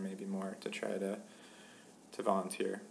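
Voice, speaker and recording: Noticeable background noise and audible room echo surround the recording. A man with an American accent speaks at a fairly low pitch. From South Jersey, near Philadelphia. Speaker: graduate student. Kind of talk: casual interview.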